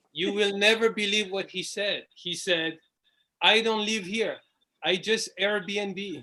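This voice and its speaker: With a strong French accent, a man speaks very slowly in a raised, projected voice that is high-pitched, bright and sharp, with fairly even intonation over a quiet background. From France. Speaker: stand-up comedian. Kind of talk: stand-up.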